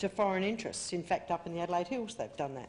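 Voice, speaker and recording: This is a woman's voice, pitched in the medium range. Its rise and fall is ordinary. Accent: Australian. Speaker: activist speaker. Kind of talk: public speech. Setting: convention stage with audience. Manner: fast.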